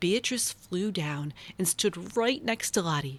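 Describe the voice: The sound is dry and close, with no echo. The intonation is lively. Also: woman, fairly low pitch for a woman, fairly slow pace.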